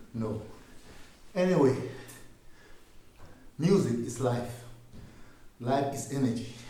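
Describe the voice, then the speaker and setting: Audible room echo surrounds a man's medium-pitched, somewhat breathy voice. He talks very slowly with long, frequent pauses and ordinary pitch variation. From Ghana. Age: 60s. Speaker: musician. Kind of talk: workshop talk.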